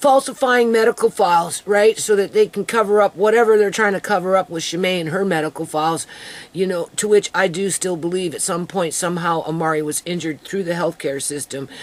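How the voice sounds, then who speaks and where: Fairly quick speech with hardly any pauses over noticeable background noise. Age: 60s. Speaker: vlogger. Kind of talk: personal video diary monologue. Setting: at home. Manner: animated.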